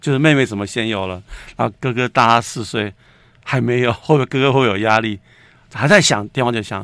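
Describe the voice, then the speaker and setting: The pace is fairly quick, with ordinary pitch variation. Overall, it is an unremarkable speaking voice. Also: man, medium pitch for a man. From Taiwan, Taipei. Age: 60s. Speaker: writer and screenwriter. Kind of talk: casual interview.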